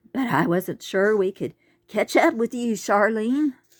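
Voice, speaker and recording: A female-sounding, put-on character voice speaks at a fairly high pitch and a fairly slow pace. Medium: read story.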